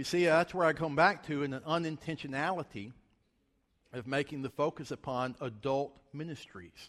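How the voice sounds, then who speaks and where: A man with a Southern US accent talks at a moderate pace. His pitch varies in an ordinary way. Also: fairly high pitch for a man. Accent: Southern American. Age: 40s. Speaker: guest preacher. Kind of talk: sermon.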